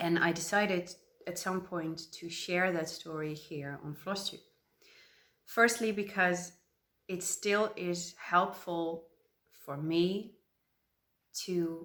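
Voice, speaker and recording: Speaking at a very slow pace, a woman with a Dutch accent has a fairly low pitch. Her pitch variation is ordinary. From Netherlands. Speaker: crafting vlogger. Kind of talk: casual vlog monologue. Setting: at home. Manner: hesitant, many fillers.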